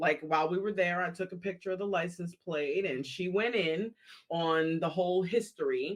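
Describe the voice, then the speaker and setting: Here is a woman with a plain, everyday voice. She is fairly low-pitched and speaks at a moderate pace. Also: fairly even intonation. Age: 50s. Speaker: podcast co-host. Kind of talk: casual podcast conversation. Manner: candid, humorous.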